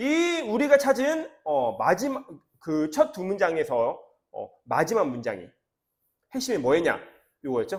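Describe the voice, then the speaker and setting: In a very clean recording with a silent background, a man with a high voice speaks at a fairly slow pace, with very wide pitch swings and long, frequent pauses. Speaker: English academy teacher. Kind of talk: lecture.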